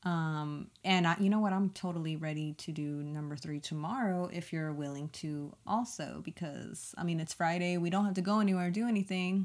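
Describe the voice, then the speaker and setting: An unremarkable speaking voice with an American accent talks at a moderate pace with ordinary pitch variation. The recording is very clean, with a silent background. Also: woman, fairly low pitch for a woman. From South Texas (Kingsville, near Corpus Christi). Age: 30s. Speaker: podcast co-host. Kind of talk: casual chat.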